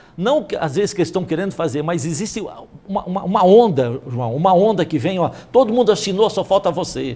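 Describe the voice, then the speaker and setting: A man speaks with lively intonation. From Brazil, São Paulo state. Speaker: pastor and former city councillor; talk show guest, speaker. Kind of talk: religious TV talk show interview. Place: studio. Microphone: lapel.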